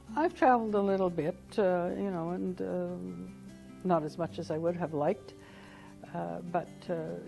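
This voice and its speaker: Music plays in the background as a woman talks at a moderate pace, leaving long, frequent pauses. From Canada. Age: 60s. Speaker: retired government administrator. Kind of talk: interview answer.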